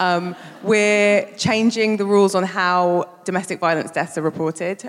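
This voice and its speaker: A woman with a London accent, fairly low in pitch, fairly even in intonation, at a moderate pace. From South London. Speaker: campaign organiser. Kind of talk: live panel talk. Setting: stage with audience.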